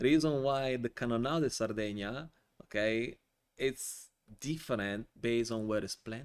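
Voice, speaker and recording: A man talks with an Italian accent and ordinary pitch variation. The recording is very clean, with a silent background. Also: medium pitch for a man, moderate pace. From Italy (born Calabria, raised near Milan). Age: 40s. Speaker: wine importer. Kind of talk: casual interview. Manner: animated.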